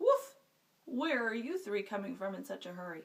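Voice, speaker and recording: A woman in a put-on character voice speaks at a moderate pace with a fairly high pitch. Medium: read story.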